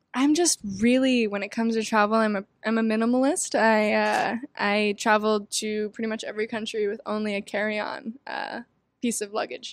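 An ordinary speaking voice with fairly even intonation and a fairly quick pace. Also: woman, fairly high pitch for a woman. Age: 20s. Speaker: record-holding traveler. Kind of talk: interview conversation.

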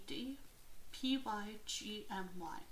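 A woman with ordinary pitch variation, in audible room echo. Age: 20s. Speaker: podcast host. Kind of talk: reading aloud. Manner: reads with frequent stumbles.

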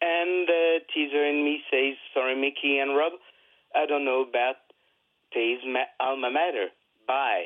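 A man with a French accent and a fairly high pitch speaks with very even loudness and long, frequent pauses. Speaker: caller. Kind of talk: call-in question to sports show. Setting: phone call. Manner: halting.

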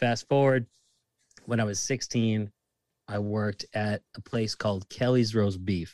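In a Boston accent, a man talks at a fairly slow pace with long, frequent pauses. The sound is dry and close, with no echo. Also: fairly low pitch for a man, fairly even intonation. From Massachusetts, Lynn (Boston area). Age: 30s. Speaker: bartender. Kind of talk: casual chat.

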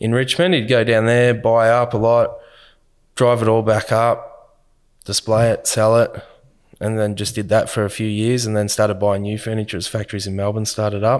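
A man with a medium-pitched voice talks in an Australian accent at a moderate pace. His intonation is fairly even, and the recording is very clean with a silent background. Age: 30s. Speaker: business owner. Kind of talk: interview. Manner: casual, with fillers.

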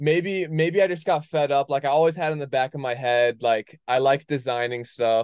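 A plain, everyday voice with ordinary pitch variation. The sound is dry and close, with no echo. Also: man. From moved around, military family (Wisconsin, Alaska, Connecticut). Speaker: skier and clothing brand founder. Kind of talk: casual chat.

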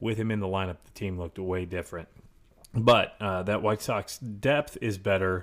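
A man with a normal speaking voice, fairly low in pitch with ordinary pitch variation and big swings in loudness, at a moderate pace on a very clean recording with a silent background. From Chicago area. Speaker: podcast co-host. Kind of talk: casual chat.

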